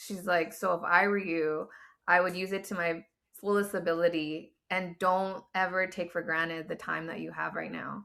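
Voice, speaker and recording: A woman with a fairly low pitch and an American accent, at a moderate pace. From Southern California. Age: 40s. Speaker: laid-off corporate professional. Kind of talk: casual interview conversation. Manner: animated.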